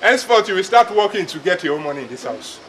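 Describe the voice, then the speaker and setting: Music plays in the background as a man speaks. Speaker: actor playing a father. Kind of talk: dramatic monologue, film acting. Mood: distressed, ashamed, frustrated. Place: open country.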